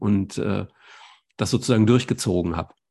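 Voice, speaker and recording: A man's dark, mellow tone at a moderate pace with ordinary pitch variation, over a quiet background. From Germany. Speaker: podcast host, doctor. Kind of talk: interview.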